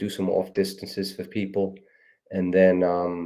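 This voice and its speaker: A man talks at a moderate pace with a New York accent. His tone is dark and mellow. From New York City (Queens). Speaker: running coach. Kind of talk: casual chat.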